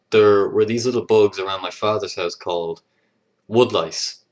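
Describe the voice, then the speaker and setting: A man speaks with a Leinster accent. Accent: Irish (Leinster). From Ireland, Leinster (east). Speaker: vlogger. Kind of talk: casual video response reading word list. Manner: hesitant, many fillers.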